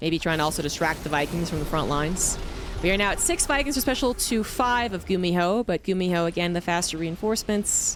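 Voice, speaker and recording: With a Mid-Atlantic American accent, a woman talks at a fairly quick pace with lively intonation. Noticeable background noise runs behind her. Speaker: esports caster. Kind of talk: live commentary. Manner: fast.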